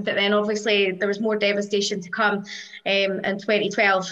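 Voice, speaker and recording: A woman speaks in an Edinburgh accent at a moderate pace. Her intonation is monotone and flat. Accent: Scottish (Edinburgh). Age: 40s. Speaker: football fan. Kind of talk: interview.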